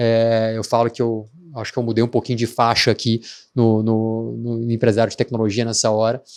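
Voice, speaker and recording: Against a quiet background, a man at medium pitch speaks at a moderate pace with monotone, flat intonation. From Minas Gerais, Brazil. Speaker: tech startup founder. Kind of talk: podcast interview. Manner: hesitant, many filler words.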